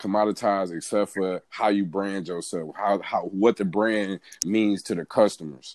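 A man with an American accent and an ordinary speaking voice talks at a moderate pace with a fairly low pitch and fairly even intonation, in a dry, close sound with no echo on a very clean recording with a silent background. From Michigan (Pontiac, near Detroit). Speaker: entrepreneur and photographer. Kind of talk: casual chat.

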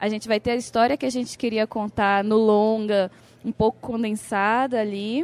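A woman's plain, everyday voice, fairly high in pitch with fairly even intonation, at a moderate pace in a dry, close sound with no echo. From Brazil, Amapá. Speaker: film director and illustrator. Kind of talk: interview.

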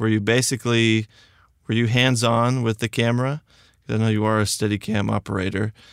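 In a very clean recording with a silent background, a man with a fairly low pitch speaks with fairly even intonation, the sound dry and close with no echo. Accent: Texas. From Texas. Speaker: podcast host. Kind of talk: interview conversation.

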